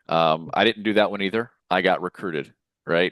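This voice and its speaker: Over a quiet background, the speaker talks at a fairly quick pace in a dry, close sound with no echo. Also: man. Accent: Arkansas. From US South, Lower Arkansas. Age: 30s. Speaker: insurance sales leader. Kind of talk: podcast interview.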